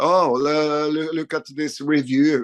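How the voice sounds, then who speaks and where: A man talks with a Norwegian accent. The sound is dry and close, without echo. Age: 50s. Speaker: rock guitarist. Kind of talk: interview. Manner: halting.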